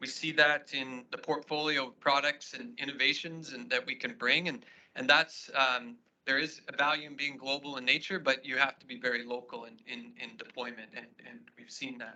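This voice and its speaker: A man with a Canadian accent speaks at a moderate pace in a fairly high, bright and sharp voice, his intonation fairly even but his loudness swinging widely. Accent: Canadian, noticeable to Australians. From Saskatchewan, Canada. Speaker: agribusiness executive. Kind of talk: conference presentation. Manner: halting, many repetitions and fillers.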